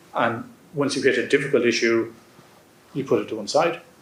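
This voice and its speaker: A man with an Irish accent speaks amid audible room echo. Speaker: ambassador. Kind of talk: audience Q&A answer. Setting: lecture hall with audience.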